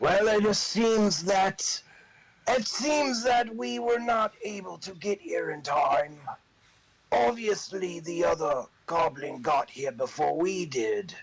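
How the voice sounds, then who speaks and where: A man puts on a character voice at a high pitch, speaking at a fairly slow pace with long, frequent pauses. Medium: actual play. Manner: bossy, contemptuous.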